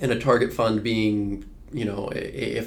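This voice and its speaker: A man with a fairly low voice talks amid audible room echo. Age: 20s. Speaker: financial advisor. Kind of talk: casual chat. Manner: halting, many fillers.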